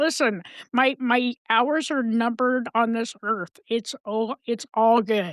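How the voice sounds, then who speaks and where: A woman speaks at a very slow pace with ordinary pitch variation. The sound is dry and close, with no echo. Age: 60s. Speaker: mental health advocate and podcast guest. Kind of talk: casual chat. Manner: animated.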